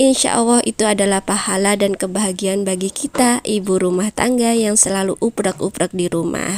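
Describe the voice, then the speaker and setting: A woman at medium pitch and a moderate pace, with ordinary pitch variation, over noticeable background noise. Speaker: housewife vlogger. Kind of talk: vlog voiceover tutorial. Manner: casual, chatty.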